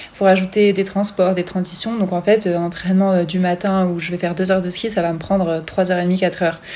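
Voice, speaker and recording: A woman's voice sits at a medium pitch with a dark, mellow tone. Her delivery is flat and monotone. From France, Grenoble. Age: 20s. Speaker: biathlete. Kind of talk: interview. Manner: hesitant with fillers.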